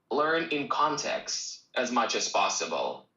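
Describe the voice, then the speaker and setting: A fairly high-pitched man speaks with a Russian accent, and room echo is audible. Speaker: English teacher. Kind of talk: live stream Q&A. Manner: casual.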